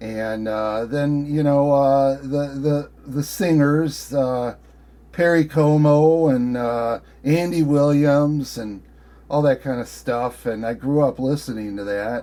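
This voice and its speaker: A man's fairly high-pitched voice with a dark, mellow tone, at a very slow pace. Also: ordinary pitch variation. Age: 60s. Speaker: ham radio operator. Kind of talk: casual chat. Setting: ham radio contact. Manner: halting, many fillers.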